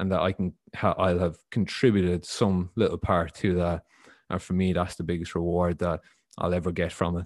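With an Irish accent, a man talks at a moderate pace in a very deep, low pitch and monotone, flat intonation, recorded with a dry, close sound with no echo against a quiet background. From Ireland. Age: 20s. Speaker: football coach and former player. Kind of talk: interview.

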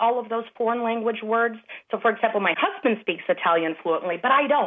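A woman with a plain, everyday voice talks at a fairly quick pace, her fairly high pitch carrying lively intonation. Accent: American. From Chicago. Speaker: educational app creator. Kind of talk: interview.

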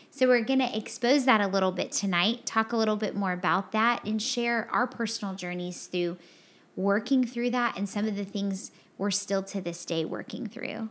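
In a very clean recording with a silent background, a woman with an unremarkable speaking voice talks at a moderate pace, her medium pitch showing ordinary variation. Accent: American. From Texas. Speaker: podcast co-host. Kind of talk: casual chat.

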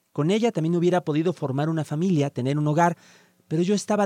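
The delivery comes at a very fast pace with lively intonation. The tone is dark and mellow, with a dry, close sound and no echo. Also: man. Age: 40s. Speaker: writer. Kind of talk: reading aloud.

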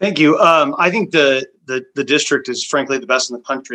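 Here a man talks at a fairly quick pace. His tone is bright and sharp. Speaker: school board candidate. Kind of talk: candidate interview, Q&A.

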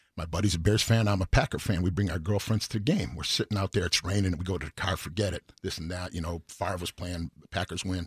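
Pitched very deep and low, a man with an American accent speaks very fast with hardly any pauses, his voice somewhat breathy and his intonation fairly even. The recording is very clean with a silent background, dry and close with no echo. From Chicago, South Side. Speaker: singer. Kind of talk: casual chat. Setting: studio.

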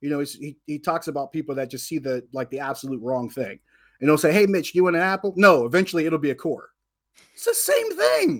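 A man with a plain, everyday voice, fairly high in pitch with ordinary variation, at a fairly quick pace, in a very clean recording with a silent background. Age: 40s. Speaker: sports radio and TV personality. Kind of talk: casual sports talk.

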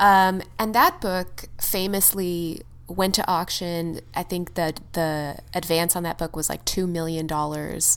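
With hardly any pauses, a woman speaks in a normal speaking voice, fairly low in pitch, with fairly even intonation. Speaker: podcast co-host. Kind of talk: casual chat.

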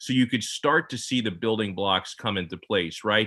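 Speaking at a fairly quick pace, a man with an ordinary speaking voice keeps his fairly low pitch on a fairly even intonation. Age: 30s. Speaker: sports radio host. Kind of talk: casual chat.

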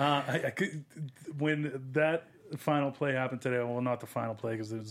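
At medium pitch, a man speaks at a fairly quick pace. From Massachusetts. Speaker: sports podcast host. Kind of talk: casual sports chat. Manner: animated.

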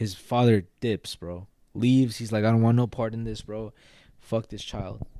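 A man at a medium pitch and moderate pace, with monotone, flat intonation, a dark, mellow tone and big swings in loudness, on a very clean recording with a silent background. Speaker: podcast co-host. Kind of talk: casual chat; true crime storytelling.

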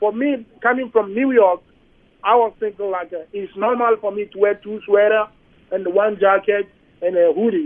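A high-pitched man at a moderate pace. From Ghana, Accra. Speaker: asylum seeker. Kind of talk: interview. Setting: phone call.

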